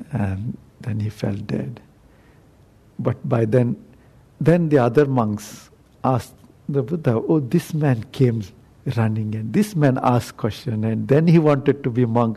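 A man's somewhat breathy voice with a dark, mellow tone, medium pitch, ordinary pitch variation, fairly slow pace, and long, frequent pauses. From South India. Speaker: Buddhist monk. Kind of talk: dharma talk. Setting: meditation center talk with audience.

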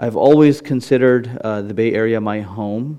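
Moderate speed from a man with a medium-pitched voice. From US West Coast (California), born in England to Indian parents. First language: Gujarati. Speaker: imam. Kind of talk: public talk followed by audience Q&A. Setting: meditation center, audience present, microphone. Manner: casual, conversational.

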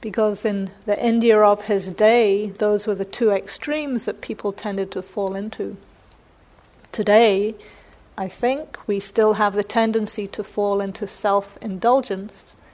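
A woman's fairly slow, monotone, flat delivery in a New Zealand accent. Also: medium pitch for a woman. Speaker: meditation teacher giving a Dharma talk. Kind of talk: Dharma talk. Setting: meditation center with live audience.

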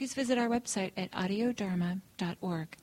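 Somewhat breathy speech with ordinary pitch variation in a dry, close sound with no echo. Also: woman. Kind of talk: guided meditation. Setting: meditation center talk, recorded for a website. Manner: slow, soft-spoken, with long pauses; calm, gentle, unhurried.

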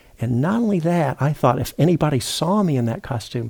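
A man's voice comes across as somewhat breathy with a dark, mellow tone. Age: 60s. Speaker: meditation teacher. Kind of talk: dharma talk. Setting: retreat center. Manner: halting.

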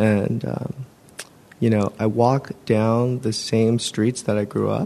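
With an American accent, a man speaks at a medium pitch and a very slow pace in a dark, mellow tone and monotone, flat intonation. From San Francisco Bay Area, California. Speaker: meditation attendee. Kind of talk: casual sharing. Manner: conversational, casual.

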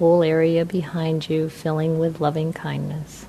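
A woman speaks in a calm, soothing tone at a fairly slow pace. Her pitch is fairly low. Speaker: meditation teacher. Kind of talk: guided meditation. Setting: talk at meditation center, evening. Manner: slow, soft-spoken; calm, soothing, with long pauses.

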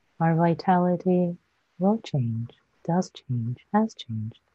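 A woman speaks at a very slow pace in a calm, soothing tone, her voice somewhat breathy and her intonation lively. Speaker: meditation teacher. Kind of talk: guided meditation. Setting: live online stream. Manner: slow, soft-spoken, gentle; calm, soothing, with long pauses.

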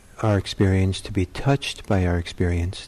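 A man speaks with a dark, mellow tone that is calm and gentle. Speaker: meditation teacher. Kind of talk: guided meditation. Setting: meditation center. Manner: slow, calm, soft-spoken; gentle, unhurried, with long pauses.

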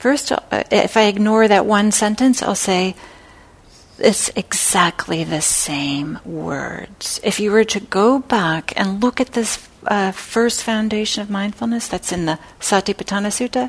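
With an ordinary speaking voice, a woman talks at a fairly slow pace and medium pitch, her pitch varying in an ordinary way. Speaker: meditation teacher. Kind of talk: dharma class. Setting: classroom with microphone.

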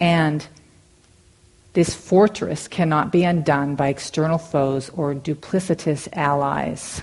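A woman speaks at a very slow pace with a very deep, low pitch and fairly even intonation. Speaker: meditation teacher. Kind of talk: dharma talk. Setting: meditation hall with audience. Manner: halting.

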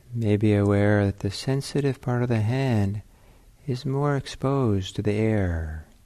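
The man's voice is fairly low, with a dark, mellow tone and ordinary pitch variation. His delivery is gentle and calm at a fairly slow pace. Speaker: meditation teacher. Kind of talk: guided meditation. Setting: meditation center, in-person sitting. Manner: slow, calm, soft-spoken; gentle, pausing often with long silences.

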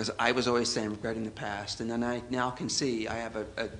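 An ordinary speaking voice from a man, fairly even in intonation and medium in pitch. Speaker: audience participant. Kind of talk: casual sharing in group.

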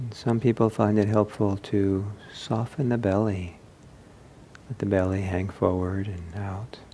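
A man with a fairly low pitch speaks at a fairly slow pace in a dark, mellow, gentle, relaxed tone that is somewhat breathy, with fairly even intonation. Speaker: meditation teacher. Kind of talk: guided meditation. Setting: retreat hall with microphone. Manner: slow, calm, soft-spoken, with long pauses; gentle, unhurried, relaxed instructions.

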